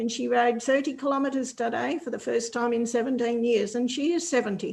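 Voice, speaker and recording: Speaking with an Australian accent, a woman uses a high pitch and ordinary pitch variation. Her pace is fairly quick. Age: 70s. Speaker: cycling advocate. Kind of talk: panel Q&A answer.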